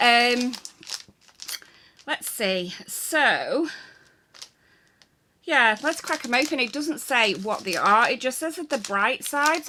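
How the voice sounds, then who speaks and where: A woman speaks at a high pitch in a bright, sharp tone. Her intonation is lively and her pace fairly slow. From England. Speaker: YouTuber. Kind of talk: unboxing and taste test vlog. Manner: casual, chatty.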